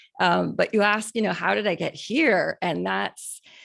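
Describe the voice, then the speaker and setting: A woman speaks with a Canadian accent. Her pace is fairly quick. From Canada. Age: 40s. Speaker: cosmetics company founder. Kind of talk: interview.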